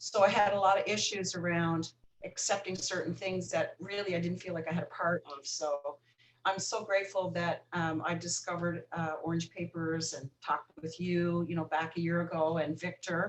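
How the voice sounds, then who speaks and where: A woman talks at a moderate pace with fairly low pitch and fairly even intonation. It is a plain, everyday voice. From Newfoundland, Canada. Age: 50s. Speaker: recovering alcoholic. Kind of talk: podcast interview.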